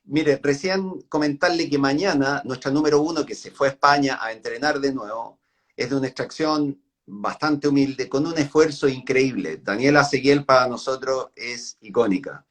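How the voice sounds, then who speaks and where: With an ordinary speaking voice, a man talks at a moderate pace and a fairly high pitch, his intonation fairly even but his loudness swinging widely. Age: 60s. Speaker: interviewer, tennis association trainer. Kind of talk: interview.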